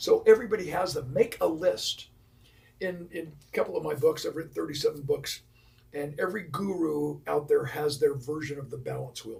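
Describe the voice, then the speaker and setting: A man at a fairly quick pace with noticeable background noise. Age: 70s. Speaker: professional speaker and speechwriter. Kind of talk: interview. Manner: animated.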